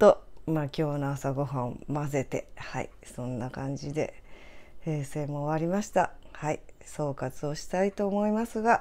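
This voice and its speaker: A woman's very deep, low voice with a dark, mellow tone, lively intonation, and a fairly slow pace. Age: 60s. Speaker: guesthouse owner and video creator; guest, video creator. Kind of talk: casual vlog narration. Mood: reflective, upbeat. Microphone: phone near.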